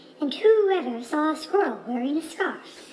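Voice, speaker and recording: A woman uses a put-on character voice, squeaky and high-pitched. She speaks loudly at a moderate pace. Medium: read story. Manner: hooting, loud.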